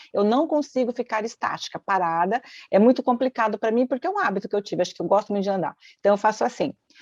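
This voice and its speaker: A woman talks at a very fast pace with a fairly high pitch and lively intonation. The sound is dry and close with no echo, over a quiet background. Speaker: therapist. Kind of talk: casual chat. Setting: livestream.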